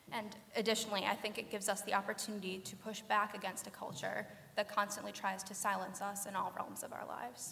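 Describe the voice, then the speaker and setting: Very fast, fairly even speech against noticeable background noise. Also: woman, medium pitch for a woman, hardly any pauses. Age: young. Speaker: feminist blogger. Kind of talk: panel discussion.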